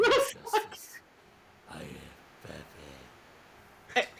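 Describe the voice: In a put-on character voice, the speaker sounds gruff at an extremely high pitch and moves at a fairly slow pace.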